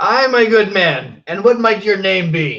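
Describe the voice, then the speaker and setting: A fairly slow, high-pitched put-on character voice from a man. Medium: actual play. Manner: bold, hearty.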